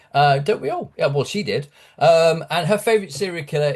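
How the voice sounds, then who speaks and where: A British accent shapes the speech. It is a man talking. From UK. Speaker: horror author. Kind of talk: interview. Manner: halting, many fillers.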